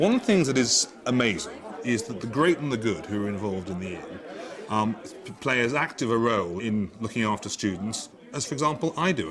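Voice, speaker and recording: Lively intonation moves along at a fairly quick pace. Crowd noise fills the background. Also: man. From northeast England. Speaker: law tutor. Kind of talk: interview. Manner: halting.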